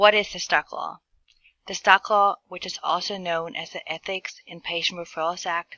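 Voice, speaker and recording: Speaking at a moderate pace, a woman with a German accent keeps a medium pitch and fairly even intonation. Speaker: healthcare administration student. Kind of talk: class presentation narration. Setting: screen recording.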